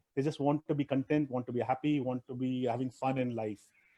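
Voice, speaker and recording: A man's dark, mellow voice with a Tamil accent, fairly high for a man, at a fairly quick pace, fairly even in intonation, in a dry, close sound with no echo. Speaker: private equity investor and traveler. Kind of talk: interview. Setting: live video stream. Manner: halting, many fillers and restarts.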